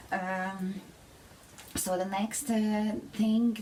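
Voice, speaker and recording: Through noticeable background noise, a woman speaks in a Hungarian accent with fairly even intonation. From Hungary. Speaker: vlogger. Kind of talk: personal testimony. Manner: halting.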